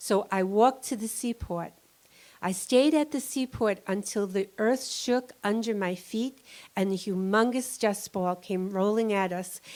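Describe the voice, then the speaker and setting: At a fairly slow pace, a woman speaks with a New York accent. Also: medium pitch for a woman, ordinary pitch variation. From New York City. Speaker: storyteller, 9/11 survivor. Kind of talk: live storytelling on stage.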